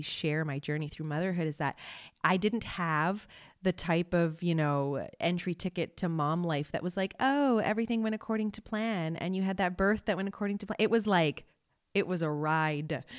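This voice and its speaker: On a very clean recording with a silent background, a woman with a Canadian accent uses a normal speaking voice, talking at a fairly quick pace with a fairly low pitch and ordinary pitch variation. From Canada, Montreal. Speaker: YouTube creator. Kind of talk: casual chat.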